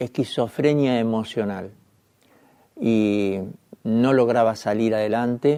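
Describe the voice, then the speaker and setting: With a dark, mellow tone, a man speaks very slowly at a medium pitch and with fairly even intonation. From Argentina. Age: 60s. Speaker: journalist. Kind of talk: testimony.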